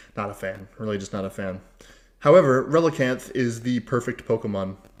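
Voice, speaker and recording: An unremarkable speaking voice at a fairly quick pace, with ordinary pitch variation and big swings in loudness. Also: man, medium pitch for a man. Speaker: YouTuber ranking Pokemon. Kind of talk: casual commentary.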